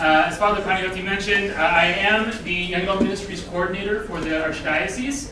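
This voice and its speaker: A man's raised, projected voice at a fairly quick pace, with audible room echo and light background noise. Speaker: guest lecturer. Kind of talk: lecture. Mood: warm, humorous storytelling. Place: hall.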